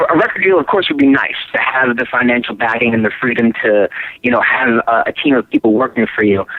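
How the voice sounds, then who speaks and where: Noticeable background noise sits behind a man with an American accent. He talks at a fairly quick pace with lively intonation. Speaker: rock singer and guitarist. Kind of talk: interview. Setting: phone call.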